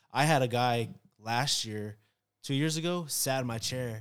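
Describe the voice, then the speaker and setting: Recorded very cleanly with a silent background, a man speaks in an ordinary speaking voice at a medium pitch with ordinary pitch variation. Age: 30s. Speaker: barber. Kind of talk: casual chat.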